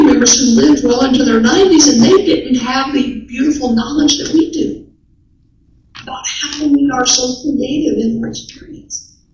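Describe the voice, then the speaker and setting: A woman's high-pitched voice at a moderate pace, with ordinary pitch variation and audible room echo. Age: 70s. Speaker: minister. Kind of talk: sermon.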